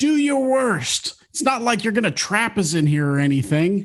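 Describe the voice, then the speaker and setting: Shouting in a put-on character voice, a man uses a high pitch with very wide pitch swings, very even loudness and a moderate pace. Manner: taunting, mocking.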